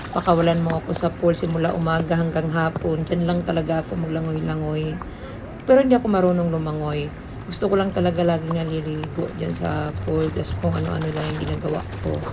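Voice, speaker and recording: A woman talking at a very fast pace amid noticeable background noise and audible room echo. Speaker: vlogger. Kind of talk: casual vlog narration.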